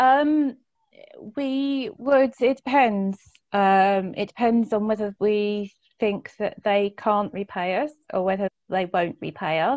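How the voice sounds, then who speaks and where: Against a quiet background, a woman's fairly high voice shows ordinary pitch variation in a dry, close sound with no echo. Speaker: credit union representative. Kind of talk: panel Q&A answers. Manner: fast.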